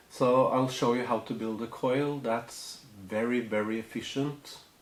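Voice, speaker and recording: Audible room echo around a man's voice with fairly even intonation. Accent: non-native. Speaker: hobbyist tutorial maker. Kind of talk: tutorial. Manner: halting, many fillers. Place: home room.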